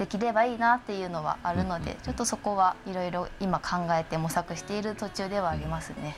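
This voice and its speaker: A woman's normal speaking voice, medium in pitch, at a fairly quick pace with fairly even intonation and hardly any pauses. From Shiroishi, Miyagi, Japan. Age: 20s. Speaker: arts project staff member. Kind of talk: casual chat.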